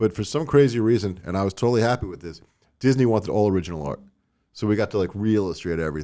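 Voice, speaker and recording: In a very clean recording with a silent background, a man with a Long Island accent speaks very fast in a dark, mellow tone at a fairly low pitch. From US Northeast, Long Island, New York. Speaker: toy designer and company owner. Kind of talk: casual podcast interview. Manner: casual, filler-heavy.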